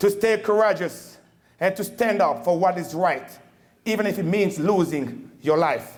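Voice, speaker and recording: Speaking at a fairly slow pace with a Congolese accent, a man uses a high pitch and ordinary pitch variation. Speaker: Marine veteran, keynote speaker. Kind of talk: formal speech. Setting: banquet hall with audience. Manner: animated.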